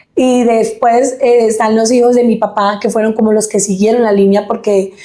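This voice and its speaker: Monotone, flat intonation at a moderate pace. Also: woman, fairly high pitch for a woman, very even loudness. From Colombia, Huila (Pitalito), born in Caquetá. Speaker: singer. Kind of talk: interview testimony.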